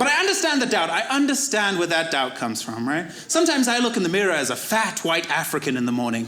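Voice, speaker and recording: Amid noticeable background noise and audible room echo, a man with a Zimbabwean accent speaks in a raised, projected voice at a high pitch and very fast pace, with very wide pitch swings and hardly any pauses. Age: 20s. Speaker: comedian. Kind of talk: stand-up.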